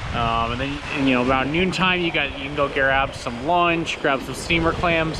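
A man speaks at a moderate pace. The sound is dry with no echo, and there is noticeable background noise. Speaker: travel vlogger. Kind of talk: casual vlog chat. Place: beach. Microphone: phone near.

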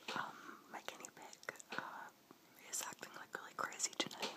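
The speaker whispers at a moderate pace. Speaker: ASMR creator. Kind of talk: ASMR casual talk. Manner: whispered.

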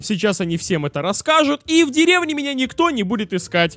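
A man talks at a fairly quick pace with very wide pitch swings. The sound is dry and close without echo, but background noise is noticeable. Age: 20s. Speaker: gaming YouTuber. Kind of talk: let's play commentary. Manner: animated.

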